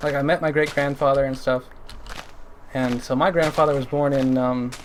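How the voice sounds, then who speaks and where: Noticeable background noise sits behind a man with a Canadian accent and a fairly high pitch. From Canada. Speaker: gaming streamer. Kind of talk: casual chat while livestreaming a game. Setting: livestream. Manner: halting, many fillers.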